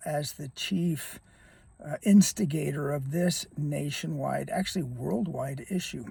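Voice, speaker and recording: Fairly slow and somewhat breathy, a man's dark, mellow voice sits fairly high in pitch and shows ordinary pitch variation. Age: 70s. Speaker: YouTuber, former athletic trainer. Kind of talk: casual vlog monologue. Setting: outdoors on a windy day. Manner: halting, with fillers.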